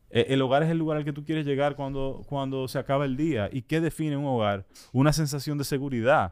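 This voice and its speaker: A man's normal speaking voice, fairly high in pitch, at a fairly quick pace. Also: fairly even intonation. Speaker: political podcast co-host. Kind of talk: casual political discussion.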